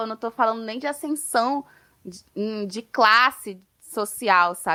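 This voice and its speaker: A woman's bright, sharp tone at a fairly slow pace, with ordinary pitch variation and a dry, close sound with no echo. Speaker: literature student. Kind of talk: interview conversation.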